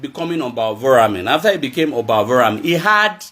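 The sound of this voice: A man at a fast pace, with big pitch swings. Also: fairly bright tone.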